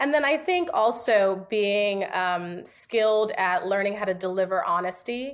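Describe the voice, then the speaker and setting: A woman with a plain, everyday voice, medium pitch, ordinary pitch variation, a fairly slow pace and hardly any pauses. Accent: American. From New York City. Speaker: real estate agent. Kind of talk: podcast interview.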